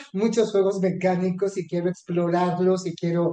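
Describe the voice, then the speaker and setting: The man's pitch is high, yet his tone is dark and mellow. He speaks in a monotone, flat intonation. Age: 60s. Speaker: astrologer. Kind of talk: interview. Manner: hesitant, frequent fillers.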